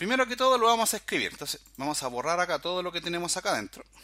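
A man speaks in a raised, projected voice with a bright, sharp tone. His intonation is lively, and the recording is very clean with a silent background. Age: 40s. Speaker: programming instructor. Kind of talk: tutorial. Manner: casual, filler-heavy.

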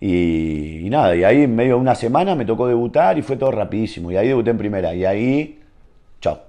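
Over a quiet background, a man with an Argentine accent talks at a very fast pace, his dark, mellow tone carried by lively intonation. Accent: Rioplatense Argentine Spanish. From Argentina. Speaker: professional footballer; guest. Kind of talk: casual interview chat. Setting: at his home. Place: home room.

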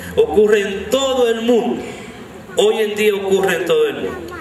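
A man's high-pitched, slightly mellow voice at a moderate pace, with lively intonation and audible room echo.

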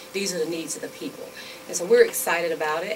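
Against noticeable background noise, a woman talks at a fairly low pitch. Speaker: council guest. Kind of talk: interview answer. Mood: upbeat, informative. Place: studio. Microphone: studio mic.

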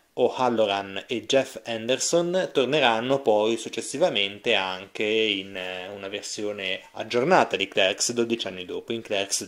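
A man uses an unremarkable speaking voice with ordinary pitch variation. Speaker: film reviewer. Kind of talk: video review monologue.

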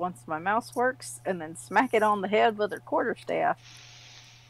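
A woman's plain, everyday voice at medium pitch, dry and close with no echo. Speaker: player in the game. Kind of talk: tabletop RPG session, casual banter.

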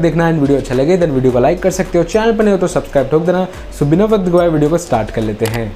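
A man's high-pitched voice at a very fast pace, with ordinary pitch variation and light background noise. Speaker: review channel host. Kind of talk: casual vlog commentary. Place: home room.

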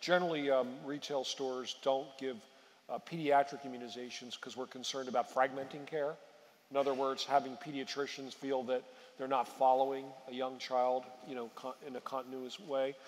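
A man talks at a fairly quick pace. His intonation is monotone and flat. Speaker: physician executive at pharmacy chain. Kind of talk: panel discussion. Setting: stage with audience. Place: stage. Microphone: headset.

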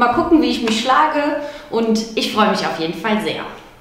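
The speaker is a woman. Her voice carries audible room echo. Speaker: new arena announcer for a volleyball team. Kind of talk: casual introduction talking to camera. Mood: happy, a bit shy. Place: studio. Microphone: handheld.

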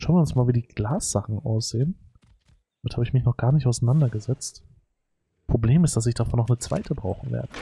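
A medium-pitched man talks at a very fast pace yet with long, frequent pauses, his voice somewhat breathy with ordinary pitch variation, in dry, close sound with no echo. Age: 30s. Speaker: gaming YouTuber. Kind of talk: let's play commentary. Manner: casual, many filler words.

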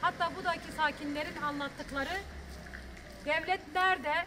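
A woman with a high pitch talks at a moderate pace with fairly even intonation over clear background noise.

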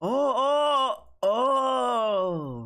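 A man's voice against a quiet background. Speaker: anime reactor. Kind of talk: casual reaction commentary. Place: home room.

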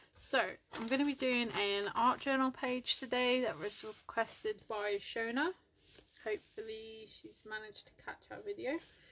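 Over light background noise, a woman with a bright, sharp tone and high pitch speaks at a moderate pace with lively intonation and big swings in loudness. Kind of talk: casual tutorial chat. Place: home room. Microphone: phone near.

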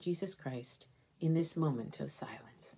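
The woman's speech has ordinary pitch variation. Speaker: college chaplain and priest leading prayer. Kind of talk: fervent, devout prayer, intoned with heartfelt supplication. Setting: recorded online prayer video. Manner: earnest, reverent, slow and rhythmic, with a heartfelt, pleading tone. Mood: calm, reverent. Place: home room. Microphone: phone near.

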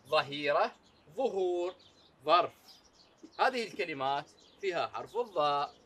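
A man talks at a very slow pace, his pitch swinging very widely. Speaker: teacher. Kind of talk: children's lesson. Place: classroom.

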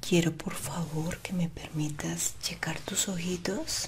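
A soft-spoken woman whispers at a very slow pace. Light background noise can be heard. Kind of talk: ASMR role-play, soft spoken. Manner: soft ASMR whisper, close and gentle.

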